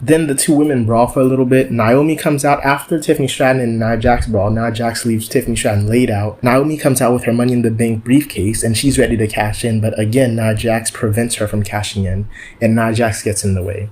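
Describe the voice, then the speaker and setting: A man talks at a very fast pace with hardly any pauses, his pitch medium and its variation ordinary. Noticeable background noise runs under the recording. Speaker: wrestling show reviewer. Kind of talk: casual video review. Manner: animated.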